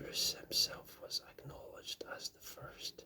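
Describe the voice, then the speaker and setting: The speaker whispers in a calm tone at a fairly slow pace. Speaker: ASMR book reader. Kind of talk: soft-spoken ASMR book reading. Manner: soft-spoken, calm.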